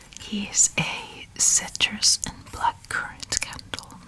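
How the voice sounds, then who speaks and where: Whispering, a man speaks against noticeable background noise. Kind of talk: ASMR roleplay as a candle shop assistant. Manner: soft-spoken, whispering.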